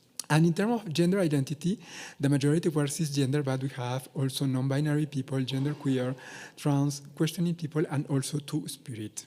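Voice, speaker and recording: A man with a non-native accent and fairly high pitch, at a moderate pace with ordinary pitch variation. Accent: non-native accent, self-noted. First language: not English (English is third language). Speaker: researcher. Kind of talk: conference presentation. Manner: hesitant, many fillers.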